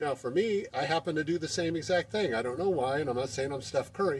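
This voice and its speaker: The voice is somewhat breathy, with ordinary pitch variation. It moves at a fairly quick pace. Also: man. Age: 60s. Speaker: amateur basketball player and video maker. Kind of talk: tutorial. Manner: casual, with many fillers.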